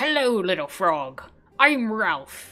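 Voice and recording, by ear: A female-sounding, put-on character voice at a medium pitch swings very widely in pitch. Faint music plays in the background.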